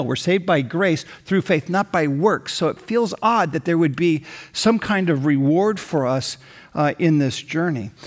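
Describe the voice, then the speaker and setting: This man has an ordinary speaking voice with an American accent, pitched fairly high. He talks at a moderate pace with lively intonation. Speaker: pastor. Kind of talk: sermon. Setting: church with online campus.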